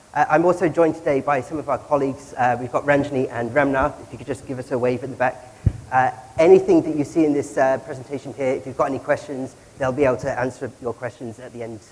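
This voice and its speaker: Over noticeable background noise, a man with a British accent talks at a very fast pace and fairly high pitch, with fairly even intonation and big swings in loudness. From Britain. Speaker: social media analyst. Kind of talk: conference presentation.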